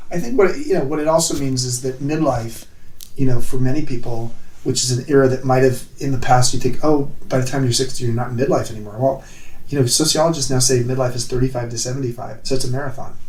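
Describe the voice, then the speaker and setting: Over noticeable background noise and audible room echo, a medium-pitched man speaks very fast with fairly even intonation. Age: 60s. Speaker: author and former hotelier. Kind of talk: interview.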